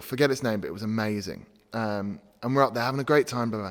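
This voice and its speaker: A man with an English accent in a very clean recording with a silent background. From England. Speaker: gym owner and podcast host. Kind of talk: casual storytelling. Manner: casual, many fillers.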